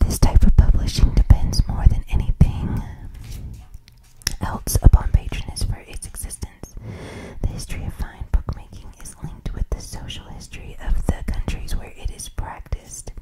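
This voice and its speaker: Whispering at a moderate pace, a woman's voice shows big swings in loudness. Noticeable noise runs in the background. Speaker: ASMR reader. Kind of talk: whispered book reading for sleep. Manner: whispered, soft-spoken.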